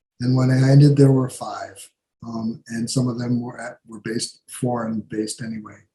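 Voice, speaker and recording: A man's somewhat breathy voice with a dark, mellow tone, medium in pitch, at a moderate pace, with monotone, flat intonation and big swings in loudness. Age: 70s. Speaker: writer. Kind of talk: Q&A talk at a club meeting. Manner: halting, many fillers.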